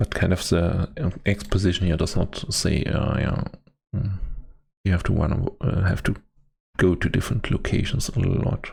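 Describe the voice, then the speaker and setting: A man with a non-native accent speaks at a very deep, low pitch and a moderate pace, with ordinary pitch variation and very even loudness. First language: not English. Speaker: game streamer. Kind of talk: live stream commentary. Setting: live stream. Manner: halting.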